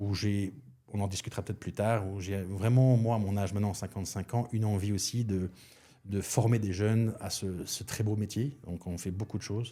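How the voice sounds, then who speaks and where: Speaking with a Belgian accent, a man has a fairly low pitch and a dark, mellow tone. He keeps a moderate pace with fairly even intonation. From Belgium. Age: 50s. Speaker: chef and restaurant consultant. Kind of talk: podcast interview. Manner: hesitant, many fillers.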